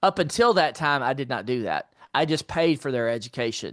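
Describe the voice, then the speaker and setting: A man with an American accent has an unremarkable speaking voice, fairly high in pitch, with lively intonation and a fairly quick pace. The background is quiet, and the sound is dry and close with no echo. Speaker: entrepreneur and finance author. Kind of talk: interview.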